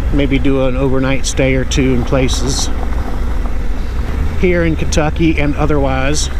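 Noticeable background noise runs under a voice moving at a moderate pace. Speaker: motorcycle vlogger. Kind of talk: casual vlog chat. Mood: relaxed, content. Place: motorbike.

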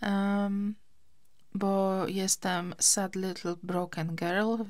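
A woman at a medium pitch, very slow pace and fairly even intonation, on a very clean recording with a silent background. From Poland, Gdańsk. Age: 30s. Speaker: podcaster. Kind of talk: casual chat. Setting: summer house.

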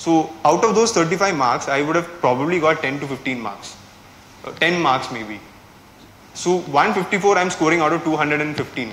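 A man with a Kerala Indian accent at a fairly slow pace, with audible room echo and light background noise. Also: lively intonation. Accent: Malayali Indian English. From India, Kerala. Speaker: civil services exam topper. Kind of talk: strategy talk to students. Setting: classroom with live audience. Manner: casual, hesitant with fillers. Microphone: lapel.

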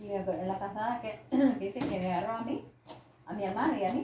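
A woman's fast delivery, medium in pitch, with ordinary pitch variation, a dark, mellow tone and strong room echo.

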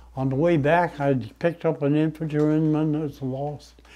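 Dark and mellow in tone, a man speaks with an American accent. His pace is moderate and his intonation fairly even. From United States. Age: 80s+. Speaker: WWII tank veteran. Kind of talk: interview answer. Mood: somber recollection. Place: home room.

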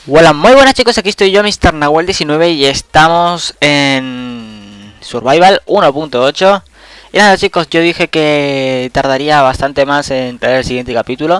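The sound is dry and close with no echo as a man talks very slowly in a fairly high pitch with lively intonation. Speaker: gaming youtuber. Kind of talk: gameplay commentary. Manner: casual, rambling with repetitions.

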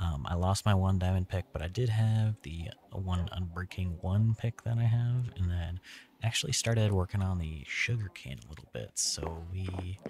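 A soft-spoken man with a very deep, low pitch and a somewhat breathy quality talks at a moderate pace with hardly any pauses and ordinary pitch variation, on a very clean recording with a silent background. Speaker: gaming ASMR creator. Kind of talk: ASMR gaming commentary.

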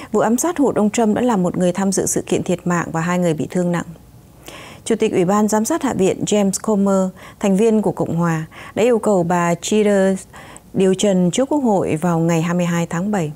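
In a plain, everyday voice, a woman speaks at a moderate pace and medium pitch, with ordinary pitch variation and very even loudness. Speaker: news anchor. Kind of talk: news reading. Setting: studio. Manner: formal.

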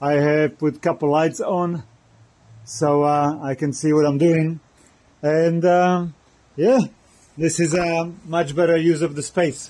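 With a high pitch and fairly even intonation, a man speaks at a fairly slow pace. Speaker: motorcycle vlogger. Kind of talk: casual vlog chat. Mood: cheerful, relaxed. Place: garage. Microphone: phone near.

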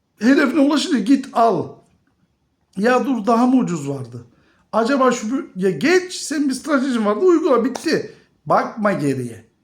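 Extremely high male voice, lively in intonation and fairly slow, with audible room echo. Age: 50s. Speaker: finance YouTuber. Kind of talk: video monologue on investing.

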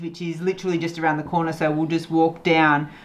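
A woman's fast, low-pitched voice with little pitch movement and faint background noise

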